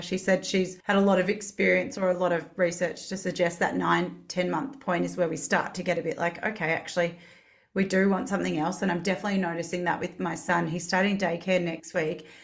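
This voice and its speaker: At a fairly quick pace, a woman with an Australian accent talks in a fairly low pitch with fairly even intonation. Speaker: podcast host. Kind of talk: casual interview.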